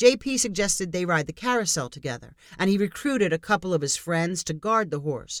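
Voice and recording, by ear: Reading aloud in a natural voice, the intonation lively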